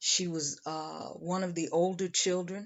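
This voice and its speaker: The speaker talks at a fairly slow pace in a monotone, flat manner, with an American accent. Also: woman. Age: 60s. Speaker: channel creator. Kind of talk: personal monologue. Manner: reflective.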